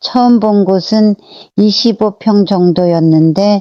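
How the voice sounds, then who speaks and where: A woman's dark, mellow voice with fairly even intonation, dry and close with no echo, over a quiet background. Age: 80s+. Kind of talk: personal memoir narration.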